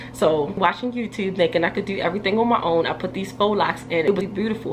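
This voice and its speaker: A woman's very fast speech with ordinary pitch variation and noticeable background noise. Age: 30s. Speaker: hair care YouTuber. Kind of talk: casual vlog talk to camera. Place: home room.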